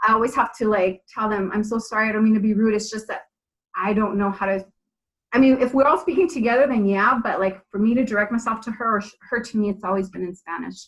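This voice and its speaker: A woman talks at a very fast pace in a fairly high, somewhat breathy voice with ordinary pitch variation. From California, Bay Area (born in Mexico). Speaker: TV and radio host, actress, model. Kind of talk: podcast interview.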